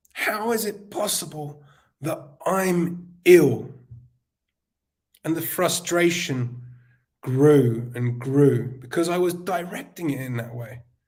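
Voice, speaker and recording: Amid audible room echo, a man with a fairly high-pitched voice and lively intonation talks very slowly, leaving long, frequent pauses. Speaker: summit speaker. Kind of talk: motivational talk.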